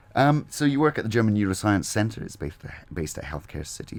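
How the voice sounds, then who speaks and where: A man talks with a Scottish accent. His pitch swings very widely. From Scotland. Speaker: radio host. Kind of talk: radio interview.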